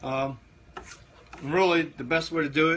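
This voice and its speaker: Over noticeable background noise, a man speaks with an American accent. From Eastern Shore of Maryland. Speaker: barbecue cooking show host. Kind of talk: live-stream cooking tutorial. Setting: Facebook live stream. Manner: casual, many fillers.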